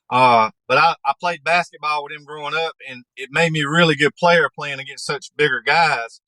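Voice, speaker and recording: A man with a Southern US accent speaks at a moderate pace in a fairly high pitch, his tone bright and sharp, the sound dry and close with no echo. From North Carolina, USA. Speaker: podcast guest. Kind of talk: interview answer.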